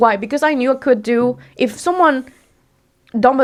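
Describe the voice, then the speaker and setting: Speaking at a fairly quick pace with a Spanish accent, a woman uses an animated tone and ordinary pitch variation in a very clean recording with a silent background. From Mexico. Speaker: entrepreneur and personal branding expert. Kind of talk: podcast interview.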